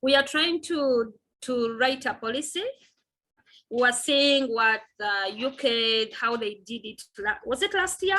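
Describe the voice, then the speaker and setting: A woman's raised, projected voice, high in pitch, bright and sharp in tone, with lively intonation at a fairly slow pace. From Uganda. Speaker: physiotherapist and women's health advocate. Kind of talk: interview.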